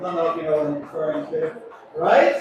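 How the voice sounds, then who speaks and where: Ordinary pitch variation from a man, with noticeable background noise and audible echo in the room. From Ireland. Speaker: cruise ship captain. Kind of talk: onboard speech to passengers. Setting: ship deck event with audience. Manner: chatty and humorous.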